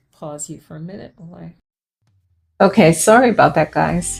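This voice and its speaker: With music in the background, a woman speaks in a fairly low pitch with lively intonation. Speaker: plant care vlogger. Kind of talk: casual chat. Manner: soft-spoken.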